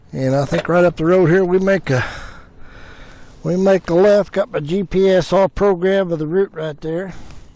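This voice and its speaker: Against noticeable background noise, a man with an American accent speaks at a high pitch and moderate pace with fairly even intonation. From US Midwest, southern Illinois. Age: 70s. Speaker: motorcycle adventure vlogger. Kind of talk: on-location vlog; video narration. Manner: hesitant, many fillers.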